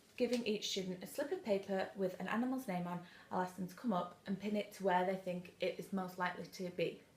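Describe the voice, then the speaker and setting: Talking at a very fast pace, a woman sounds somewhat breathy and keeps her intonation fairly even. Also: medium pitch for a woman. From northern England, Manchester. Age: 20s. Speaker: teaching job applicant. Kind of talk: demonstration lesson; self-introduction video. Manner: formal.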